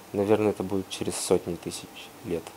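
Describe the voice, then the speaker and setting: With light background noise behind him, a man speaks at a moderate pace in a very deep, low voice with a dark, mellow tone and monotone, flat intonation. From Russia. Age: young. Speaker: volcanologist. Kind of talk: guest talk and Q&A answers. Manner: hesitant, casual. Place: classroom. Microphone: lapel.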